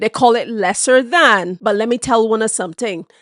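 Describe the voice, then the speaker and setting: A woman with a Barbadian accent speaks with medium pitch and ordinary pitch variation in a dry, close sound with no echo. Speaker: history presenter. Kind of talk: educational history talk to camera.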